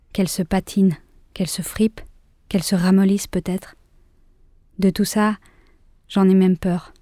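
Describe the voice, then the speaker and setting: A woman speaks at a moderate pace with a medium pitch and a dark, mellow tone. The recording is very clean with a silent background and a dry, close sound with no echo. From Switzerland, Geneva. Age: 30s. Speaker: actress and podcast creator. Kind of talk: scripted narration; interview.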